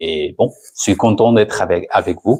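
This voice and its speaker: A man at a medium pitch, with a Spanish accent. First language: Spanish (speaking French). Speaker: pastor. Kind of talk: sermon. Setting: church, streamed online. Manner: halting, with hesitations.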